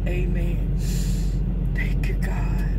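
The speech moves at a very slow pace. Loud background noise sits behind it. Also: woman. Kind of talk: prayer. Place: car. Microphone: phone near.

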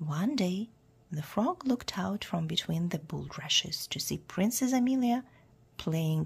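The speaker reads in a natural reading voice, the intonation lively throughout.

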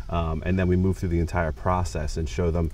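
Over light background noise, a man with a very deep, low pitch speaks at a fairly quick pace with ordinary pitch variation, the sound dry with no echo. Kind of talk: interview answer. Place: garden. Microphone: lapel.

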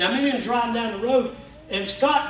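A man speaks at an extremely high pitch in a raised, projected voice with an animated tone. Light background noise and room echo can be heard. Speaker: pastor. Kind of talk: sermon. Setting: church; stage with audience. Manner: call-and-response, exhorting the congregation. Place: church. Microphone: camera far.

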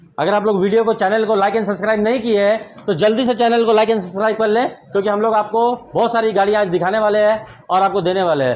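A man speaks at a fairly quick pace in a high voice, his loudness very even. His intonation stays fairly even over light background noise. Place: shop.

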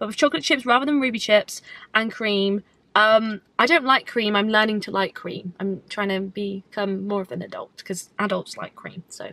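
The voice has a bright, sharp tone and moves at a fairly quick pace, with big swings in loudness. The sound is dry, with no echo. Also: woman. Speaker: vlogger. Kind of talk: casual vlog chat. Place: car. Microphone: phone near.

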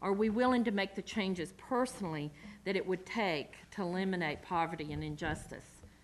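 A woman with a Southern US accent, medium pitch, ordinary pitch variation and a fairly quick pace, over light background noise. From US South. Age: 40s. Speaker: community organizer; lecturer. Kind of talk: lecture. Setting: stage with audience. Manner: halting. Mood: earnest, reflective. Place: hall. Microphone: podium.

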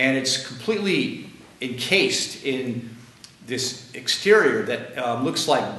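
A very slow, lively-intoned man's voice with an American accent, with audible room echo. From United States. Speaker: author and lecturer; lecturer. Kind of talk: lecture. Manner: halting, many fillers. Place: classroom. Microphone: camera far.

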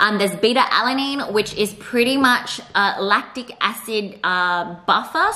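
The pitch of this woman's voice varies in an ordinary way. She speaks fairly slowly. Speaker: fitness vlogger. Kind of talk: casual vlog chat. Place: home room. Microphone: phone near.

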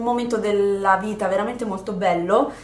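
A woman speaks at a fairly high pitch with fairly even intonation, and room echo can be heard. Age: 20s. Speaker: YouTuber. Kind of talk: casual chat. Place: home room.

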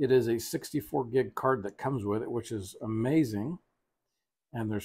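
At a fairly slow pace, a man talks in a somewhat breathy voice with ordinary pitch variation. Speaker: product reviewer. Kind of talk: product review tutorial. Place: home room.

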